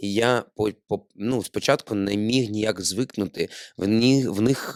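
In a very clean recording with a silent background and a dry, close sound with no echo, a man of medium pitch speaks at a very slow pace with ordinary pitch variation. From Ukraine, Odesa. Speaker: podcast host, actor. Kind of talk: casual chat. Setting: studio.

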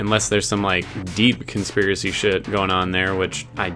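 Clear music plays in the background as a man speaks at a moderate pace with a fairly low pitch. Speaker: reaction video host. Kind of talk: review commentary. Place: home room. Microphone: studio mic.

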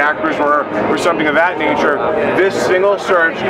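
A man talks at a fairly quick pace. Loud background noise is present. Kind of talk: product demonstration. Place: hall.

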